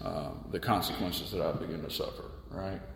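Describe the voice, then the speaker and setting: A man with an American accent speaks over noticeable background noise, with audible room echo. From US South, Charleston, South Carolina. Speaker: recovering alcoholic sharing his story. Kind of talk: personal testimony in a casual interview. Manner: halting, many fillers and repeated words.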